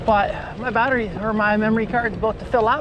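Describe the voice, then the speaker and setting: Against noticeable background noise, a woman talks at a fairly quick pace and a fairly high pitch. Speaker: cycling vlogger. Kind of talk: casual vlog narration while riding. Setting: outdoors on a bicycle.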